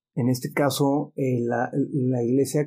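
In a Mexican accent, a man at medium pitch speaks with ordinary pitch variation on a very clean recording with a silent background. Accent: Mexican Spanish (Jalisco). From Mexico, Guadalajara (childhood partly in Mexicali). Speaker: business consultant. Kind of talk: casual interview, personal testimony.

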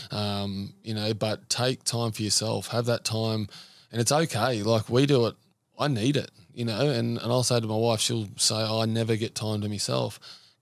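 With a very clean recording and silent background, a man speaks at a moderate pace and medium pitch with fairly even intonation. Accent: Australian. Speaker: former rugby league player, men's group founder. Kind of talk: casual interview. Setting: studio.

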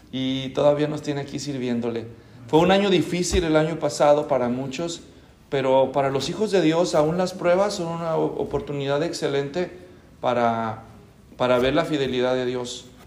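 A man at a moderate pace with audible room echo. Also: fairly high pitch for a man, ordinary pitch variation. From Mexico, Guadalajara. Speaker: pastor. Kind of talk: sermon.

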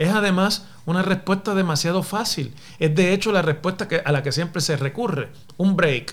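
A man with a high pitch speaks at a moderate pace. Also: ordinary pitch variation. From Puerto Rico, Mayagüez. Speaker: professor and political podcaster. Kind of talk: solo commentary podcast. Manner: formal.

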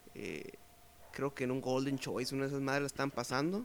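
Here a man speaks at a very fast pace in a Mexican accent. His pitch sits in the medium range. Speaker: podcast host. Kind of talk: casual chat.

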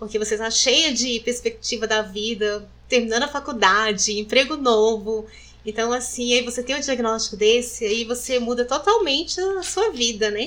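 At a moderate pace and with hardly any pauses, a woman speaks at a high pitch with ordinary pitch variation. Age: 40s. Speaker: breast cancer survivor. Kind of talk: testimony.

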